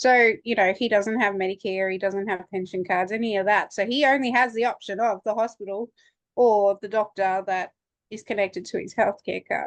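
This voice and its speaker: In an Australian accent, a woman speaks at a moderate pace with fairly even intonation. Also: medium pitch for a woman. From Australia, Townsville. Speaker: student. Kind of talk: online workshop discussion.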